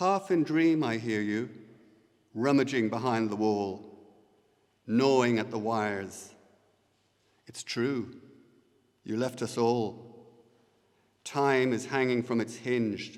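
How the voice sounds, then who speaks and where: The pace of this man's speech is very slow, broken by long, frequent pauses. His pitch is medium, with ordinary variation. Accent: Irish. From Ireland, Co. Louth. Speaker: poet. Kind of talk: poetry reading. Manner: hesitant.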